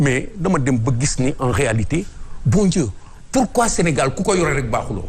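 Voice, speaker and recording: A man with a fairly high pitch talks at a fairly slow pace, his pitch swinging very widely, with audible echo in the room. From Senegal. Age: 60s. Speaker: former police commissioner. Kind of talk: TV interview.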